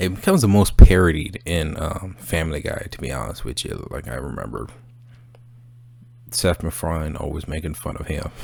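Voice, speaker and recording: A quiet man with a very deep, low pitch talks at a fairly quick pace with ordinary pitch variation. His loudness swings widely, and background noise is noticeable. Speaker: movie review channel host. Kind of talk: casual monologue review. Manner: quiet, subdued; hesitant, many fillers.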